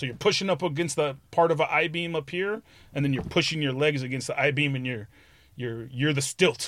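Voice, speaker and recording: An ordinary speaking voice from a man with an American accent, fairly high in pitch with ordinary pitch variation, at a fairly quick pace, in a very clean recording with a silent background. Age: 50s. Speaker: graffiti artist. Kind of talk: casual chat.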